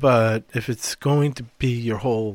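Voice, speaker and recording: The recording is very clean, with a silent background. A man is speaking. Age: 60s. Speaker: mental health counselor and podcast co-host. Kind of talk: casual conversational podcast discussion.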